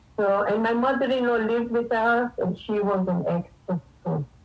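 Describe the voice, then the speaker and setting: Noticeable background noise runs behind this woman. Her voice sits at a fairly high pitch. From Tanzania, East Africa. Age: 60s. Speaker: cookbook author and pharmacist. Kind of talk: radio interview.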